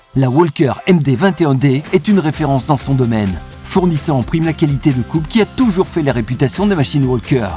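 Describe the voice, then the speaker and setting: A man's fairly high-pitched voice at a very fast pace, with lively intonation and very even loudness, over music in the background. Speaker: voice actor. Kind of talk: commercial product narration.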